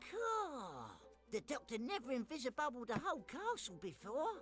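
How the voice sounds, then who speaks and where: A cartoonish character voice, fairly high in pitch, at a moderate pace over clear background noise. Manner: chatty, playful with made-up words.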